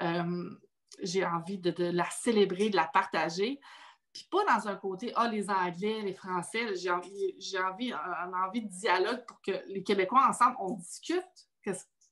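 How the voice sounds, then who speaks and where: Her loudness swings widely as a woman speaks. She talks at a fairly slow pace and a medium pitch. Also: ordinary pitch variation. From Quebec. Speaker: podcast host. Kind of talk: casual chat.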